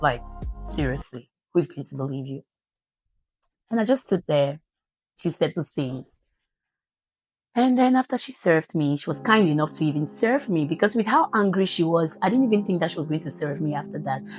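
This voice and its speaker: A woman talks at a fairly quick pace in a very deep, low voice with vocal fry and very wide pitch swings. Long, frequent pauses break up her speech against a quiet background. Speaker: motivational vlogger. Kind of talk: personal storytelling.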